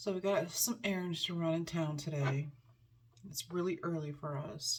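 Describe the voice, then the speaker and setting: A woman speaks quietly at a fairly low pitch with ordinary pitch variation. Her voice is somewhat breathy. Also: moderate pace. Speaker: lifestyle vlogger. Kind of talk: casual chat. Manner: quiet, hushed.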